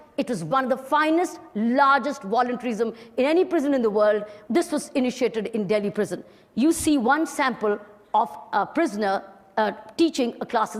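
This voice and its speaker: Noticeable background noise sits under a woman speaking in a high pitch with an Indian accent and very wide pitch swings. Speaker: retired police officer, social activist. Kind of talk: motivational talk to an audience.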